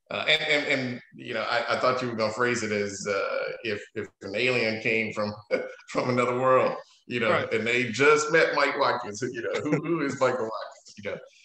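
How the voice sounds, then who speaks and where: Male speech in a room with audible echo, plus light background noise. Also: ordinary pitch variation, moderate pace. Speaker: interview guest. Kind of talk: interview answer. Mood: amused, then reflective. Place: home room. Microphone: video call.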